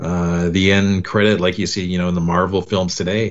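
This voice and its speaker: A man is speaking. He has a normal speaking voice. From Canada. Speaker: fan website host. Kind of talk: casual chat.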